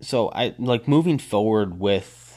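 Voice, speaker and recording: Against a quiet background, a man speaks in an animated, passionate tone. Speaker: podcast host. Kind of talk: solo podcast monologue, personal and emotional. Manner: animated, passionate, halting with fillers.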